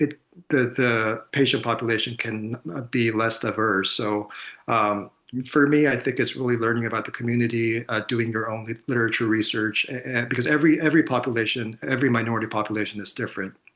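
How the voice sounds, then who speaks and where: A man's bright, sharp voice in a Korean accent, medium pitch, fairly quick pace, fairly even intonation. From South Korea. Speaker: psychiatrist and researcher. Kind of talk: conference panel Q&A. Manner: halting, many fillers and repeats.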